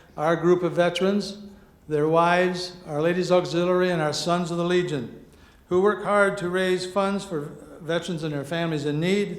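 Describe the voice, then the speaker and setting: Audible room echo surrounds a man speaking fairly quickly in a high, flat monotone with an American accent. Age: 70s. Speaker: farmer and auctioneer, award winner. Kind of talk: acceptance speech.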